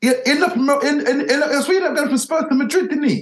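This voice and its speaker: A man speaks at a fairly quick pace. His pitch is extremely high. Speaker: football pundit. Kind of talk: casual football debate.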